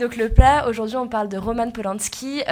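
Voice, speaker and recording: A woman speaks at a fairly high pitch with fairly even intonation, and room echo is audible. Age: 20s. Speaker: student podcast host. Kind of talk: casual discussion.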